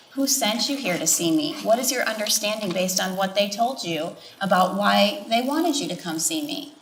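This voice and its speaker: Speaking with an American accent, a woman swings her pitch very widely and hardly pauses. There is audible room echo and noticeable background noise. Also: medium pitch for a woman, moderate pace. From Wisconsin. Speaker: healthcare provider on a panel. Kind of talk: panel discussion.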